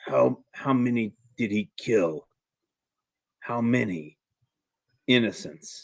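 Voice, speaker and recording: Putting on a character voice, a man growls in a raspy tone at a medium pitch and a fairly slow pace, with long, frequent pauses. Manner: growling.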